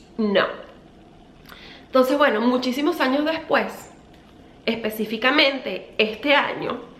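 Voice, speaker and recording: A woman speaks in a high voice with ordinary pitch variation, with audible room echo and noticeable background noise around her. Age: 30s. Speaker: beauty vlogger. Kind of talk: storytime vlog. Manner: casual, chatty.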